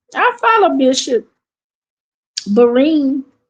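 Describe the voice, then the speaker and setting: A woman with an American accent speaks at a high pitch. Her tone is animated, with very wide pitch swings. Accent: Southern accent, comes and goes. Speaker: church commentary livestreamer. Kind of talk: casual livestream chat. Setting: live stream. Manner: animated, repetitive.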